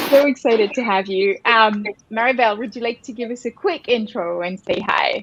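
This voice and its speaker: A woman with a French accent and a fairly high pitch, at a moderate pace with ordinary pitch variation. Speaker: co-founder and host of a coaching webinar. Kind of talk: live webinar introduction.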